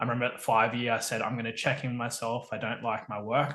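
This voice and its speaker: Medium in pitch, the man's voice has a bright, sharp tone. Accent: Australian. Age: 30s. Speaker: permaculture educator and engineer. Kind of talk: podcast interview.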